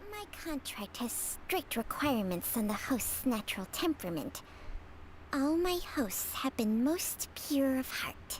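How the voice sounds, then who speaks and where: A female-sounding, put-on character voice speaks high for a woman, at a fairly slow pace. Clear background noise runs underneath. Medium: video game. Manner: wry, unhurried.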